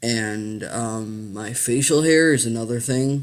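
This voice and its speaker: A man's voice at a medium pitch. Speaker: video blogger. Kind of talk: casual vlog talk. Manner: hesitant, many fillers.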